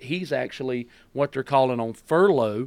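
Here a man speaks with a Southern US accent in a medium pitch at a moderate pace. The recording is very clean, with a silent background. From US South, North Carolina. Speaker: pastor. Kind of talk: casual chat. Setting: studio.

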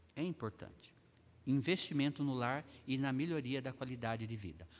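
The speaker is a man at medium pitch. He talks at a moderate pace. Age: 50s. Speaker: Sunday school teacher, pastor. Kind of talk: bible class lesson.

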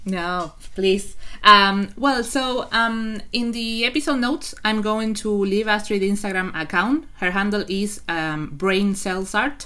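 A woman with a non-native accent speaks at a very slow pace. Her tone is bright and sharp. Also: medium pitch for a woman, ordinary pitch variation. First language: not English. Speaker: podcast host and novelist. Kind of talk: interview. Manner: halting.

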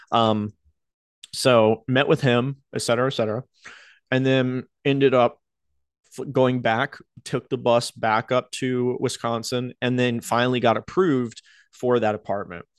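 A man with an American accent and medium pitch talks at a fairly slow pace, leaving long, frequent pauses and keeping his intonation fairly even. The sound is dry and close with no echo, over a quiet background. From US South, North Carolina Outer Banks. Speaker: YouTuber and web developer. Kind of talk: personal storytelling monologue. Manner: casual, halting with filler words.

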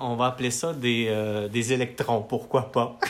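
Noticeable background noise sits behind a man speaking very slowly at medium pitch. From Quebec, Matane. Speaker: musician. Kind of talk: casual chat. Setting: his home studio. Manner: halting, many repetitions.

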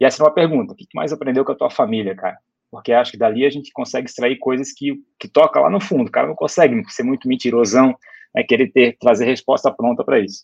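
The speech races at a very fast pace with big swings in loudness and ordinary pitch variation. The sound is dry and close, with no echo. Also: man, medium pitch for a man. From Brusque, Santa Catarina, Brazil. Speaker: startup founder and former CEO. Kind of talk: casual interview conversation.

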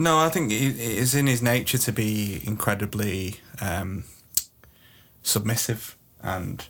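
Fairly low in pitch, a man with an unremarkable speaking voice talks at a fairly slow pace. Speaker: podcast host. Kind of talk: comedic mock documentary chat.

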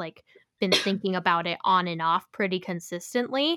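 In a normal speaking voice, a woman talks at a fairly slow pace with lively intonation. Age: 20s. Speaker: musician and podcast co-host. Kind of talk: casual chat. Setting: remote recording, separate locations.

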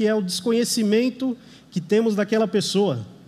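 Pitched high for a man, his voice has a dark, mellow tone, fairly even intonation and a moderate pace. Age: 30s. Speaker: lay preacher. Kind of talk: sermon. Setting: church service.

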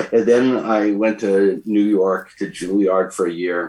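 A man speaks with fairly even intonation at a fairly low pitch. He has an unremarkable speaking voice. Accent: Canadian. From Canada, Alberta Rockies. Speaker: orchestra conductor. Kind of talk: radio interview.

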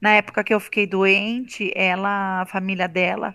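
A woman's medium-pitched voice moves along at a moderate speed. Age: 40s. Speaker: amateur runner, breast cancer survivor. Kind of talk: testimony.

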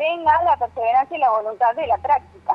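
With music in the background, a woman speaks using lively intonation. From Argentina, Córdoba Sierras Chicas. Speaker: violin teacher. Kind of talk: radio interview. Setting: phone call.

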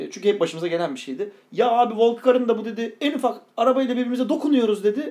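A man is speaking. He talks at a very fast pace. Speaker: podcast co-host. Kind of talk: casual chat.

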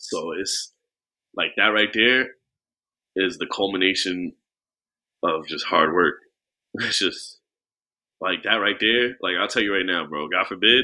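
The speaker has a New York accent and a fairly slow pace. Long, frequent pauses come through over a quiet background. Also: man, fairly low pitch for a man, ordinary pitch variation. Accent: New York City. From Queens, New York. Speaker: rapper. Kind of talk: casual chat.

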